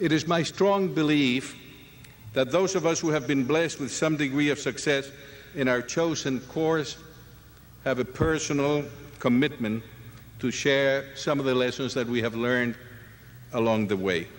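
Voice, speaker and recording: A man talks at a moderate pace with a fairly high pitch and ordinary pitch variation. His loudness stays very even, with long, frequent pauses. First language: not English. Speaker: commencement speaker, physician and former university president. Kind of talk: commencement address. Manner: formal.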